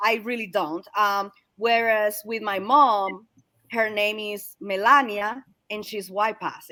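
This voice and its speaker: With a Spanish accent, a woman speaks very slowly in a bright, sharp tone, her pitch fairly high with fairly even intonation while her loudness swings widely. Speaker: series host. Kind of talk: casual chat. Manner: halting.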